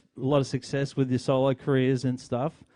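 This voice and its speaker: The tone is dark and mellow, with an Australian accent. The pace is moderate. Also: man. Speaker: podcast host. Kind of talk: interview. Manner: halting.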